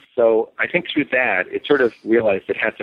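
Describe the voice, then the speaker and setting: With an American accent, a man speaks at a moderate pace with ordinary pitch variation. He has a plain, everyday voice. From New York. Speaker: author and cultural historian. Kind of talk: interview.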